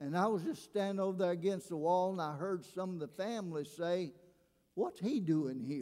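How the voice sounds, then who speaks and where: A man talks at a moderate pace in a high pitch. His tone is dark and mellow, with ordinary pitch variation. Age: 70s. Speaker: retired pastor. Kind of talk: sermon. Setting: church.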